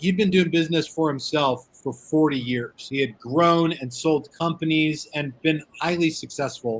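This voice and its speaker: Here a man uses a normal speaking voice, fairly high in pitch, at a moderate pace with ordinary pitch variation. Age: 40s. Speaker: cigar media owner. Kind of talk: casual interview chat.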